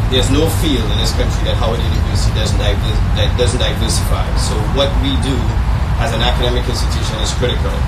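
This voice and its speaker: A man at a very fast pace over loud background noise. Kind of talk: speech. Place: tent.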